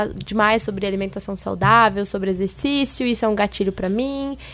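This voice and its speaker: Very clean recording, silent background: a woman's medium-pitched voice, an unremarkable speaking voice, at a moderate pace with ordinary pitch variation. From Minas Gerais, Brazil. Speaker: Instagram influencer. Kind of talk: casual chat.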